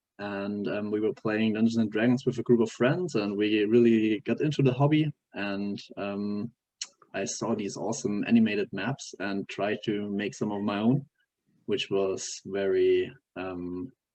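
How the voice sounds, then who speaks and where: Fairly low-pitched man with a German accent, a fairly slow pace, and ordinary pitch variation. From Germany. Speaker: software developer. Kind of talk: interview. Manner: halting, many fillers.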